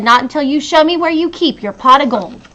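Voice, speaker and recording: Using a put-on character voice, a woman talks at a fairly quick pace and a high pitch. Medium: read story.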